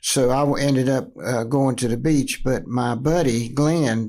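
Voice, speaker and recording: In a North Carolina accent, a man speaks at a moderate pace and medium pitch. His intonation is fairly even, on a very clean recording with a silent background. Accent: Southern US (North Carolina). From North Carolina, Kannapolis. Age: 80s+. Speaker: former pro sports team owner. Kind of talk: interview. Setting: podcast recording. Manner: halting, many fillers.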